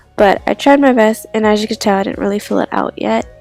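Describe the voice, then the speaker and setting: A woman speaks at a fairly high pitch with fairly even intonation. Music plays in the background. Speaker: bullet journaling YouTuber. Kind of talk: casual talk to camera.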